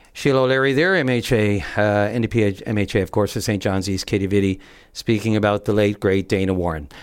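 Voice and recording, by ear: The delivery comes at a fairly quick pace, with a clear, smooth tone and fairly even intonation. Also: man, fairly low pitch for a man.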